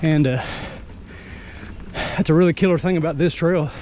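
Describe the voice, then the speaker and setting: A man speaks in an American accent at a fairly high pitch. His pace is moderate, and there is noticeable background noise. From US South. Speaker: mountain biking vlogger. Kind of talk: casual vlog narration while riding. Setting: outdoors on a trail. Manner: relaxed conversational.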